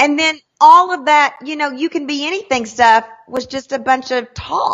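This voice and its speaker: A high-pitched woman in a Southern US accent, animated tone and ordinary pitch variation, at a moderate pace. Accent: Southern US country. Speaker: sales trainer. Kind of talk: interview.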